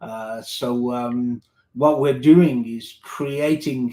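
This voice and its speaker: A man with a slight British accent speaks with ordinary pitch variation. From United Kingdom. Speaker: tech company executive. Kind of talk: interview.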